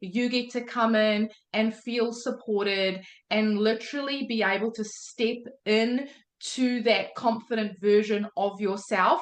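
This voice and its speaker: In a New Zealand accent, a woman speaks at a fairly slow pace with a fairly high pitch. Her tone is animated, and her pitch varies in an ordinary way. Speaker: day trading mentor. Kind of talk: motivational talk on live call.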